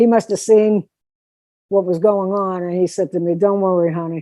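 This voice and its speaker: Dark and mellow in tone, the voice moves at a moderate pace with ordinary pitch variation, its sound dry and close with no echo over a quiet background. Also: woman. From Pittsburgh, US. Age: 60s. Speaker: singer and drummer. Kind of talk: interview storytelling.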